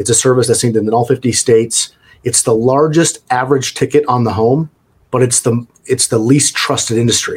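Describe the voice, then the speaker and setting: A man talks at a moderate pace with a medium pitch. His voice is somewhat breathy, with fairly even intonation. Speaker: franchise executive. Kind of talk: interview.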